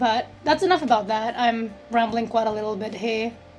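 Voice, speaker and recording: A woman speaks at a fairly high pitch with noticeable background noise. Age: 20s. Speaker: digital artist. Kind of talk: casual chat.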